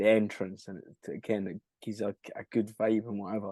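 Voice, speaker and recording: A fairly quick man with a fairly low pitch and a Scottish accent, in a dry, close sound with no echo over a quiet background. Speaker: rock band frontman and singer. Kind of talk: casual chat. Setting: podcast interview.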